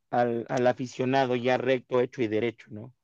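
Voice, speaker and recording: An unremarkable speaking voice at a moderate pace over a quiet background. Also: man. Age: 30s. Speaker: podcast host. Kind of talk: casual interview.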